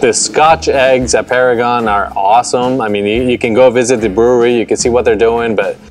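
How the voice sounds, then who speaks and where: Faint music plays behind a man who speaks at a fairly quick pace with fairly even intonation and hardly any pauses. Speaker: co-host. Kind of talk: casual conversation. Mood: relaxed, joking. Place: garden.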